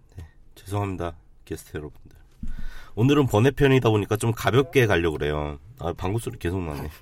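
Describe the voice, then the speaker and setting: Big swings in loudness mark this man's fairly quick delivery. His fairly low pitch moves in very wide swings. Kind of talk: casual chat.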